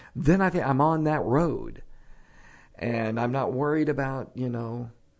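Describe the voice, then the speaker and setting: A man's vocal fry with lively intonation at a moderate pace. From Texas. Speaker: preacher. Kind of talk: casual chat.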